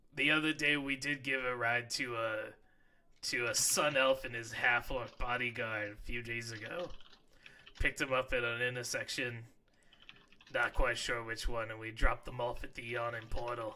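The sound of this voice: Putting on a character voice, a man talks at a moderate pace in a raspy, guttural tone at medium pitch.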